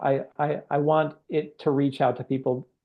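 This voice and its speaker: Fairly high in pitch, a man's voice carries an American accent. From Chicago, US Midwest. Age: 50s. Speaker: author. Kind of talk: interview. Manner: halting.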